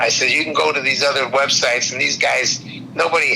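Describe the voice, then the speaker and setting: Noticeable background noise accompanies this man's fairly quick speech. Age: 70s. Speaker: customer, car enthusiast. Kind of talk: casual chat.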